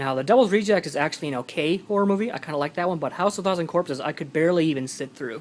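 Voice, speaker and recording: A man mumbling. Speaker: movie collector vlogger. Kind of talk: casual vlog. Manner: hesitant.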